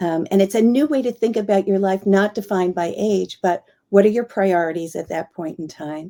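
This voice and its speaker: The delivery is fairly quick, dark and mellow in tone, with ordinary pitch variation. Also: woman, medium pitch for a woman. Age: 60s. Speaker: author and longevity market expert. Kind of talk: interview. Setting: live online video stream.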